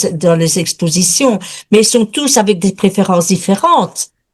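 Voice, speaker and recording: With a Belgian accent, a woman talks at a fairly slow pace using lively intonation. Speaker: watercolour painter, student. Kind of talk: question in webinar.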